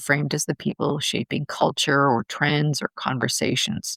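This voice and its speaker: Vocal fry at a moderate pace, in a dry, close sound with no echo. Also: woman. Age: 60s. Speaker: podcast host. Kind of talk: solo podcast monologue. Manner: conversational.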